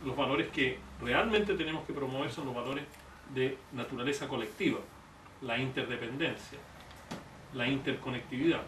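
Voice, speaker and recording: A man speaks at a moderate pace and medium pitch with ordinary pitch variation, leaving long, frequent pauses. Audible room echo and noticeable background noise are present. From Chile. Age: 60s. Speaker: economist and presidential candidate. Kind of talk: public talk.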